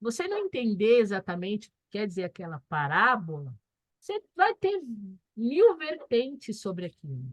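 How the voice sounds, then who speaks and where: A woman, fairly high-pitched and somewhat breathy, at a moderate pace, with very wide pitch swings and big swings in loudness, in dry, close sound with no echo. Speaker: spiritist course teacher. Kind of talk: lecture.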